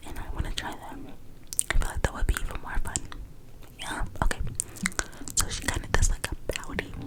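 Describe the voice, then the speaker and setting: Someone is whispering at a fairly quick pace with long, frequent pauses. Noticeable background noise is present. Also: woman. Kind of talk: ASMR video. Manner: whispered.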